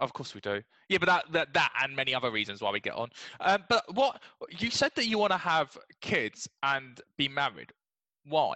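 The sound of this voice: A man speaks at a moderate pace with a bright, sharp tone and big pitch swings. The sound is dry and close, with no echo. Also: medium pitch for a man.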